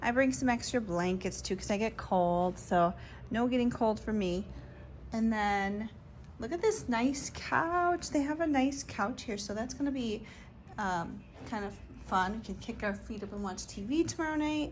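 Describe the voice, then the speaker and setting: A woman's somewhat breathy, fairly high voice with lively intonation. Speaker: bodybuilding competitor and vlogger. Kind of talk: casual vlog. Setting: hotel room. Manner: soft-spoken.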